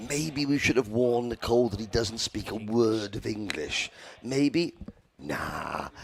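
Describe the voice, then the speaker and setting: A man with a medium pitch speaks at a fairly slow pace. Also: ordinary pitch variation. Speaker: motorsport commentator. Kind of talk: live commentary. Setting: commentary box. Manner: halting.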